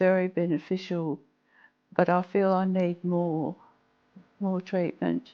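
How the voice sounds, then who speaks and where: Speaking at a very slow pace, a woman uses a medium pitch. She has an Australian accent, and the background is quiet. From Western Australia. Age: 70s. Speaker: patient. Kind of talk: interview answer.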